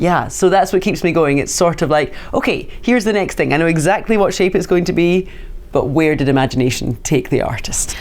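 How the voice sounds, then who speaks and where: A woman's fairly low voice with lively intonation at a fairly quick pace, very even in loudness, music in the background. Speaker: auctioneer. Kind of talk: interview answer.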